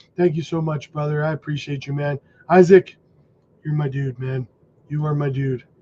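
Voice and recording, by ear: A man talks at a moderate pace in a dark, mellow tone. His pitch sits fairly high with little movement.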